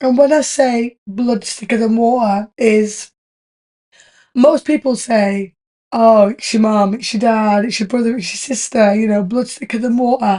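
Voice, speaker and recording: A dark, mellow tone with a British accent and fairly even intonation. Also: woman, fairly high pitch for a woman, fairly slow pace. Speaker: podcast host. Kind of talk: casual chat.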